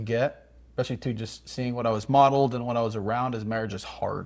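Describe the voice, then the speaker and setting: A man speaks in a monotone, flat intonation at a moderate pace. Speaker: married couple podcast co-host. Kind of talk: casual chat. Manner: loud; halting.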